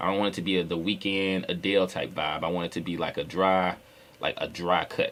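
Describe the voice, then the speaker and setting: In a very deep, low pitch, a man speaks at a fairly quick pace with monotone, flat intonation. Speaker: rapper and music producer. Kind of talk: tutorial. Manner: casual, conversational with fillers.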